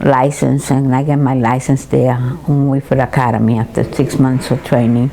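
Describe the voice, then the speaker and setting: Over noticeable background noise, a woman speaks very deep and low, monotone and flat, with very even loudness and hardly any pauses. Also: moderate pace. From Puerto Rico. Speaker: senior citizen, retired hairdresser. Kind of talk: interview answer, recalling life story. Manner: hesitant, halting, with repeated words.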